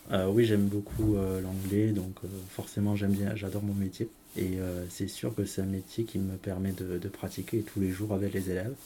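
A man with a southern French accent speaks at a moderate pace and fairly low pitch, his dark, mellow tone delivered in flat, monotone intonation. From southern France. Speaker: English teacher. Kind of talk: interview. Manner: hesitant.

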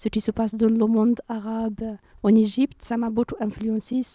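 Recorded dry and close with no echo, a woman talks at a moderate pace in a fairly high pitch. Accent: North African. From Morocco, Rif region; moved to France at 13. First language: Berber (speaking French). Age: 20s. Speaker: university student. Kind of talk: interview.

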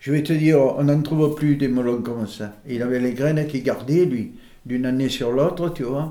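Fairly high male voice, dark and mellow in tone, at a moderate pace with audible room echo. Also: ordinary pitch variation. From Provence, France (Brignoles, Var). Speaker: local resident recounting family history. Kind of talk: oral history interview.

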